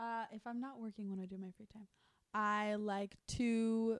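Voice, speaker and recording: In a dry, close sound with no echo, a woman with an American accent and an unremarkable speaking voice talks slowly-ish at a fairly high pitch, keeping a fairly slow pace. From US South. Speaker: musician. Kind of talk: casual chat.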